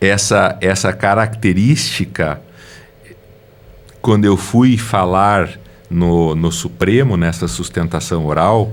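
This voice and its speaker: A man's speech with long, frequent pauses and ordinary pitch variation. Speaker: lawyer. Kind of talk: interview. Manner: slow.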